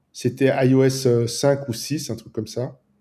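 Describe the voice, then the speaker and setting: A man with a fairly high pitch, a somewhat breathy voice and a dark, mellow tone. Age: 50s. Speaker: app developer. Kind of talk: casual interview.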